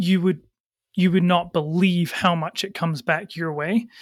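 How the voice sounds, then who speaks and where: A man with a Scottish accent speaks at a moderate pace in a high voice with fairly even intonation, recorded very cleanly against a silent background. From Scotland. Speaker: agency founder and CEO. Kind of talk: interview.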